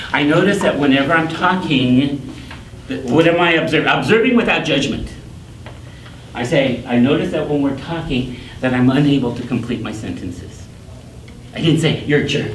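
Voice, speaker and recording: Amid noticeable background noise and audible room echo, a man speaks at a moderate pace in a fairly high pitch, with lively intonation and long, frequent pauses. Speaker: workshop teacher. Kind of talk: workshop lecture.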